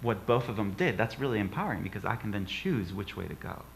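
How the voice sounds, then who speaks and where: A man with a medium pitch talks at a very fast pace with lively intonation. Room echo is audible. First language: not English. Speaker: guest speaker, author. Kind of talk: inspirational talk in church. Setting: church service with audience.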